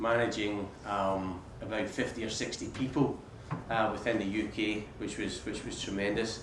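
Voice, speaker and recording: A man talks at a moderate pace, with noticeable background noise and audible room echo in the recording. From Scotland, Paisley. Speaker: business executive. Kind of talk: talk to students. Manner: repeats words often.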